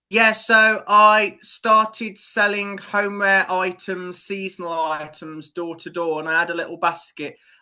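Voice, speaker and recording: A British accent at a fairly slow pace with hardly any pauses. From UK. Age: 20s. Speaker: PR business owner. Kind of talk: podcast interview. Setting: remote call.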